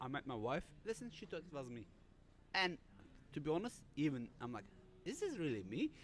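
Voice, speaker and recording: Speech comes at a fairly quick pace in a German accent. The pitch swings very widely. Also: man. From Germany. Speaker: cybersecurity author. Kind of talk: panel interview. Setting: live stream. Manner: halting.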